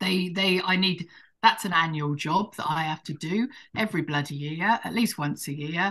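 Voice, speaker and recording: A woman in a southern English accent talks at a moderate pace with a bright, sharp tone and ordinary pitch variation over a quiet background. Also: fairly low pitch for a woman. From southern England, Hampshire; southern England. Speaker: forest gardener; podcast guest. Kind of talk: casual chat. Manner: halting. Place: home room. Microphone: video call.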